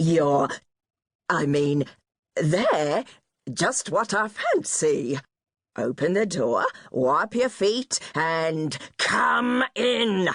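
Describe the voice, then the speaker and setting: A woman in a gruff, put-on character voice with a fairly low pitch talks at a very slow pace, leaving long, frequent pauses. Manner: feigned sweetness, sly.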